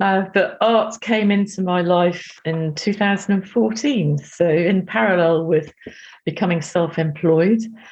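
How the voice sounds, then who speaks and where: A woman speaks at a fairly slow pace and a medium pitch, somewhat breathy. Her loudness stays very even, and her pitch varies in an ordinary way. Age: 60s. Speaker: artist and psychotherapist. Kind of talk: interview.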